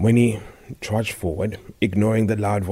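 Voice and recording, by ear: A person reads aloud in a natural voice.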